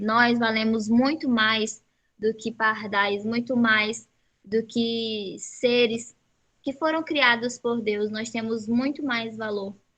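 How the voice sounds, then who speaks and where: The speaker uses a plain, everyday voice at a fairly slow pace with fairly even intonation. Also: woman. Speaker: Bible study teacher. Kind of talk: Bible study lesson.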